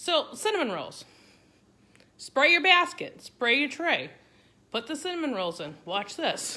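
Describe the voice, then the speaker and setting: A woman's high, bright, sharp voice, raised and projected, with very wide pitch swings and long, frequent pauses. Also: fairly slow pace. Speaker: cooking content creator. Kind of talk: live stream cooking demo. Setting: home kitchen, Facebook Live. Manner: casual, chatty.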